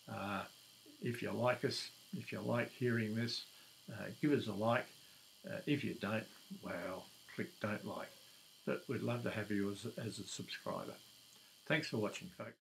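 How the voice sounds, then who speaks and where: A man with an Australian accent, medium-pitched, with lively intonation and vocal fry, at a fairly slow pace with long, frequent pauses. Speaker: YouTuber. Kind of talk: casual talk to camera. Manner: hesitant, many fillers.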